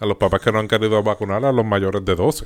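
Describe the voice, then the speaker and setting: A man talks at a fairly quick pace. His pitch is fairly low and his intonation fairly even. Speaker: podcast co-host. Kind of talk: casual banter podcast.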